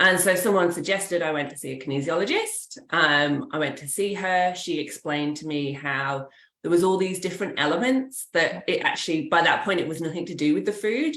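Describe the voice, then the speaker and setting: Lively intonation carries the speech along at a fairly quick pace with hardly any pauses. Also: woman, fairly low pitch for a woman. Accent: English. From England. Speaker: kinesiologist. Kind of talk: interview.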